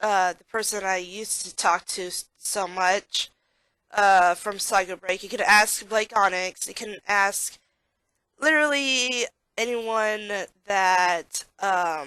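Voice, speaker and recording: A woman's bright, sharp tone at medium pitch with an American accent, ordinary pitch variation and a very slow pace, in a quiet background. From South Texas. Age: 20s. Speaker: gaming streamer. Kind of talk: casual monologue. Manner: halting.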